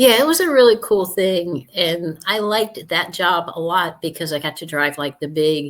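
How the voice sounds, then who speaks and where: In an ordinary speaking voice, a woman talks at a moderate pace with a fairly low pitch. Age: 60s. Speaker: Air Force veteran and truck driver. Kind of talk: interview.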